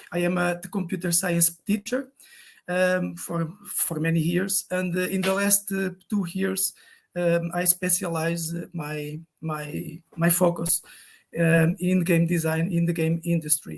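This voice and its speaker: With a Portuguese accent, a man talks at a very slow pace and a high pitch in a monotone, flat intonation. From Portugal. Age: 50s. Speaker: game design teacher. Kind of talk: online talk. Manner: halting, many fillers and repetitions.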